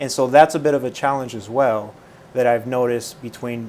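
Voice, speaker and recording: A man with a Spanish accent, medium pitch and fairly even intonation. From Puerto Rico, then California and the Midwest. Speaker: mayor. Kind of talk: interview.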